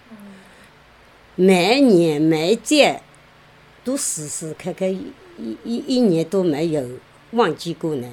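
A woman's fairly low voice at a very slow pace, with very wide pitch swings. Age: 70s. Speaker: care recipient. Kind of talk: interview. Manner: halting.

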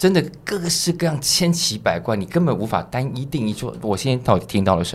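A man talks at a fairly quick pace with hardly any pauses. His pitch swings very widely. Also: medium pitch for a man. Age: 40s. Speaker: music festival curator. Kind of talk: interview.

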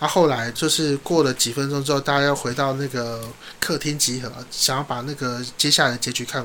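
A man with a fairly high-pitched voice speaks at a fairly quick pace and with fairly even intonation over noticeable background noise. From southern Taiwan. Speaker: radio host. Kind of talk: casual chat.

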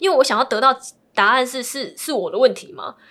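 With lively intonation and a fairly quick pace, a woman speaks in an unremarkable speaking voice. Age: 20s. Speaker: divorcee sharing her story. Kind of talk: interview.

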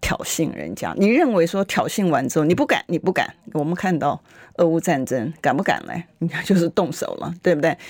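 Using an animated tone, a woman speaks at a moderate pace with a fairly low pitch, vocal fry and ordinary pitch variation. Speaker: legislator. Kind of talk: political talk radio interview. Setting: radio studio.

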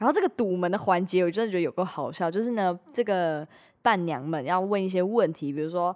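A woman's unremarkable speaking voice at medium pitch, fairly quick, with ordinary pitch variation, in a very clean recording with a silent background. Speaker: podcast host. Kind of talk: casual chat.

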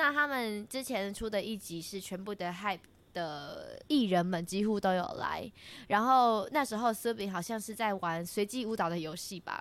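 There is a very clean recording with a silent background. A woman of medium pitch speaks in an unremarkable speaking voice. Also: ordinary pitch variation, moderate pace. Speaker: student radio host. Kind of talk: casual chat.

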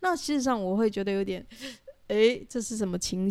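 On a very clean recording with a silent background, a woman talks with a fairly high pitch, ordinary pitch variation and a dark, mellow tone. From Taiwan. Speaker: podcast co-host, pilgrim hiker. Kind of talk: casual chat.

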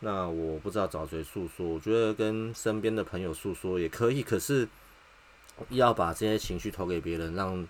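This man has a very deep, low voice with ordinary pitch variation. He speaks with a Taiwanese accent. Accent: Taiwanese Mandarin. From Taiwan, Taipei. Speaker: podcast host, factory technician. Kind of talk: personal monologue. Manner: halting, with many filler sounds.

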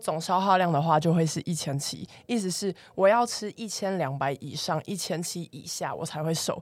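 A woman speaks at a moderate pace in an unremarkable speaking voice with ordinary pitch variation, recorded very cleanly against a silent background. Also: fairly low pitch for a woman. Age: 20s. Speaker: fitness coach. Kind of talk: casual chat.

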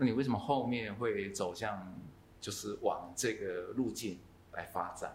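There is audible room echo around a man's somewhat breathy voice at medium pitch. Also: ordinary pitch variation, fairly slow pace. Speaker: podcast host. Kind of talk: casual interview. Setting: coffee shop in Taichung.

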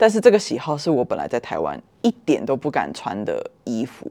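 The woman keeps a moderate pace, heard against a quiet background. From Taiwan. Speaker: podcast guest. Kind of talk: casual chat.

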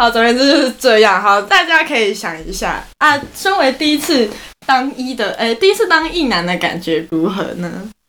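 A woman speaks in a Taiwanese accent. Her high pitch swings very widely. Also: moderate pace. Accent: Taiwanese Mandarin. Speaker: podcast co-host. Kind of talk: casual chat.

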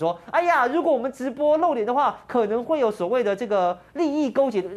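A man's pitch swings very widely as he talks fairly quickly. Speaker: political talk show host. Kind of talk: casual political commentary. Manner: animated.

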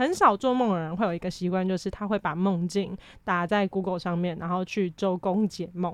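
Against a quiet background, a woman talks in an ordinary speaking voice at a fairly quick pace with fairly even intonation. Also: medium pitch for a woman. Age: 20s. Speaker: university student. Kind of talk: casual chat.

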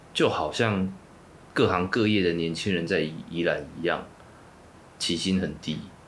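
A man's very deep, low voice at a fairly slow pace, with ordinary pitch variation, long, frequent pauses and audible room echo. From Taiwan, Yilan. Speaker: activist and political organizer. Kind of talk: interview.

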